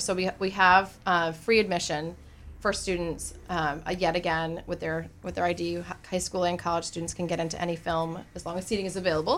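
With vocal fry, a woman speaks at a fairly quick pace and a fairly low pitch with fairly even intonation. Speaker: film festival organizer. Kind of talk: radio interview, casual chat. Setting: studio.

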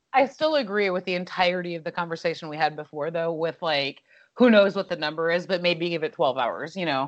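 A woman has an unremarkable speaking voice, fairly low in pitch. She talks at a fairly quick pace with ordinary pitch variation. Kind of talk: casual podcast recap.

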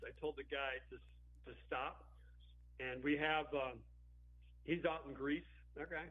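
A man talks at a fairly slow pace. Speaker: metal musician. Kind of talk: casual interview chat.

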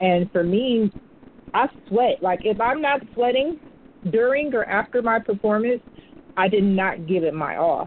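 A woman speaks fairly slowly in a fairly high voice with very even loudness. It is a normal speaking voice. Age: 30s. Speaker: poet and musician. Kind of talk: interview. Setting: phone call.

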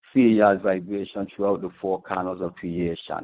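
With a Virgin Islands accent, a man talks at a fairly low pitch with fairly even intonation. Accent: Caribbean (Virgin Islands). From US Virgin Islands, St. Thomas. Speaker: caller, spoken word poet and musician. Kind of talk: spoken word poetry. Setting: phone call.

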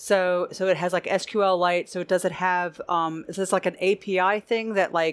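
In a very clean recording with a silent background, a woman speaks at a medium pitch. Her intonation is monotone and flat, and her fairly slow pace has hardly any pauses. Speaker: solutions architect and podcast co-host. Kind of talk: technical panel discussion.

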